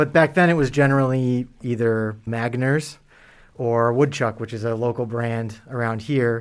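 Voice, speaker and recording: Speaking in a normal speaking voice with an American accent, a man keeps a medium pitch, fairly even intonation and a fairly slow pace. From Massachusetts. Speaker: cider maker. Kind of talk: interview.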